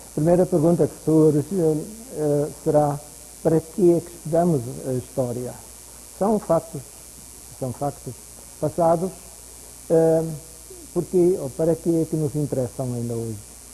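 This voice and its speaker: Fairly slow, non-native-accented speech with long, frequent pauses, ordinary pitch variation and noticeable background noise. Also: man, fairly high pitch for a man. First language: German (speaking Portuguese). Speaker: university professor lecturing. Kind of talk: lecture. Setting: lecture hall with audience. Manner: unscripted, halting.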